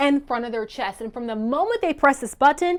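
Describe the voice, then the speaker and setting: A woman talks at a fairly quick pace with a high pitch and lively intonation. Noticeable background noise runs behind her. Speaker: news anchor. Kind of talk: live TV news report.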